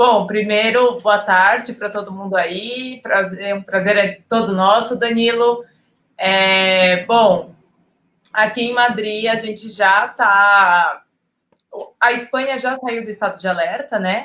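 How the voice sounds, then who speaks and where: This woman speaks very slowly in a fairly high, bright, sharp voice. Her intonation stays fairly even. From Brazil. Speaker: educational communicator and photographer. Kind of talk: casual interview.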